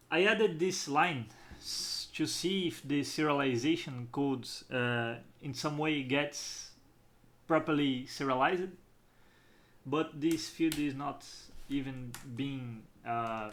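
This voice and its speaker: This man has a fairly high pitch and ordinary pitch variation, with audible room echo around him. He talks at a very slow pace with long, frequent pauses. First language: not English. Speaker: game developer. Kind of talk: tutorial. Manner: halting.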